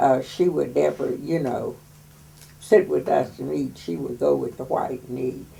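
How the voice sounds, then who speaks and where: A woman at a moderate pace in an American accent. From West Virginia. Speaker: WWII factory worker oral history interviewee. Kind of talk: oral history interview.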